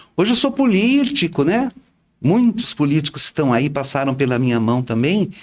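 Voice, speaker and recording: A man's voice with very wide pitch swings at a moderate pace, in a very clean recording with a silent background. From Brazil, Bauru (São Paulo state). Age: 60s. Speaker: retired teacher and social volunteer. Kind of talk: interview chat.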